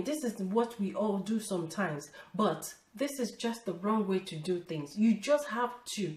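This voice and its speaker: A woman talks in a fairly high voice over noticeable background noise. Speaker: lifestyle vlogger. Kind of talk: casual motivational talk to camera.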